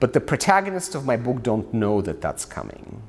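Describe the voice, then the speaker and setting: In a Russian accent, a man speaks at medium pitch. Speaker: author and scholar. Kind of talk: lecture; Q&A answer. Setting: stage with audience.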